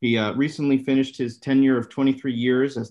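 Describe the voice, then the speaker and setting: Against a quiet background, a man delivers his words in a monotone, flat intonation. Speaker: neurosurgeon. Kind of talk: webinar moderation. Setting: video call. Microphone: webcam.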